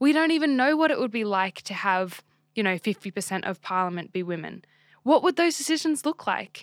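A woman with an Australian accent speaks at a fairly quick pace and fairly high pitch, using very wide pitch swings, with a dry, close sound with no echo. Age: 20s. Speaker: podcast co-host. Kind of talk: casual chat.

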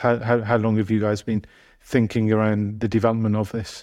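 A man's medium-pitched voice over a quiet background. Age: 40s. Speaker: podcast host, life coach. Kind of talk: casual interview. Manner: halting, repeats words.

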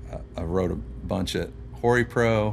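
With an American accent, a man speaks at a very deep, low pitch with very wide pitch swings. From Louisville, Kentucky (south end, Valley Station). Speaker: songwriter and singer. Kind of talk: casual chat.

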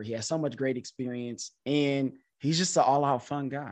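In a quiet background, a man speaks at a moderate pace in an unremarkable speaking voice with fairly even intonation. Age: 30s. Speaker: podcast host and teacher. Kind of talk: casual chat; outro sign-off.

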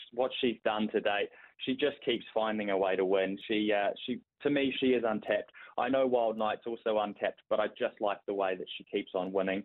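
A man talks with a New Zealand accent. His pace is moderate. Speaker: racing tipster. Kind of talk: casual chat.

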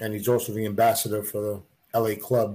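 A somewhat breathy man, fairly low in pitch, monotone and flat, at a moderate pace on a very clean recording with a silent background. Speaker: beard club organizer. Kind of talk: casual chat.

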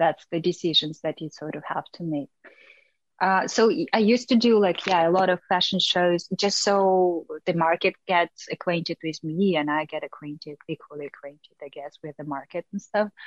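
With a Russian accent, a woman speaks at a moderate pace in a fairly low pitch, using ordinary pitch variation and big swings in loudness, in a dry, close sound with no echo. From Russia, small town. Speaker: fashion model. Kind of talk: interview.

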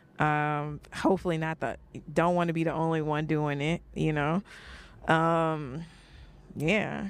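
A woman's very deep, low voice in an American accent, monotone and flat, with long, frequent pauses, on a very clean recording with a silent background. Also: fairly slow pace. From New York (Brooklyn). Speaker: geneticist and podcaster. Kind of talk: casual interview chat.

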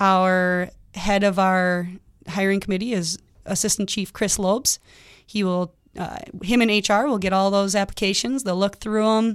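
A woman speaks in a plain, everyday voice at medium pitch and a moderate pace, with fairly even intonation, on a very clean recording with a silent background. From Minnesota, Twin Cities (Lakeville). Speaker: firefighter and EMT. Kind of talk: radio interview.

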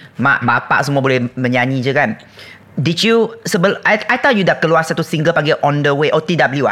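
A man speaks in a fairly high voice with lively intonation and very even loudness. Noticeable background noise is present. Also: moderate pace. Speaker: podcast host. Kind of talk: casual chat. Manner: animated.

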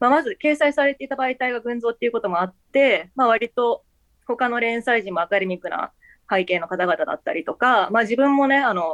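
A woman's high voice, lively in intonation, at a moderate pace, in a dry, close sound with no echo. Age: 20s. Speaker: writer. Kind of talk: interview. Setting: remote call.

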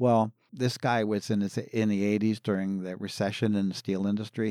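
A man with a plain, everyday voice and a fairly low pitch speaks at a fairly quick pace with an American accent, in a very clean recording with a silent background and a dry, close sound with no echo. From Philadelphia area, US. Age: 60s. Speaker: pastor. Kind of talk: interview.

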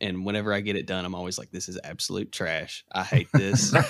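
A man speaks in an Appalachian accent at a fairly low pitch. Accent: Southern US (Appalachian). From Kentucky. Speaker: TikTok content creator and artist. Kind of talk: casual podcast interview.

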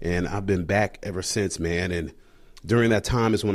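A man in a normal speaking voice, fairly low in pitch and fairly quick in pace, in a very clean recording with a silent background. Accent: American. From US military bases. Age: 30s. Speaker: police officer and army veteran. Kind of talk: casual chat.

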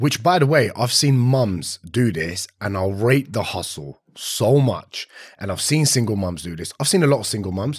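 Animated in tone, a man speaks at a moderate pace with hardly any pauses, a medium pitch and very wide pitch swings. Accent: London. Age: 30s. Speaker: personal trainer. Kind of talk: casual chat. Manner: blunt, animated, swears often.

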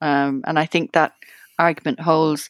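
In a very clean recording with a silent background and a dry, close sound with no echo, a woman with an Irish accent speaks at a very deep, low pitch with ordinary pitch variation. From Ireland. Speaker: journalist and researcher. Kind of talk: interview reminiscence. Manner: halting, many fillers and repeats.

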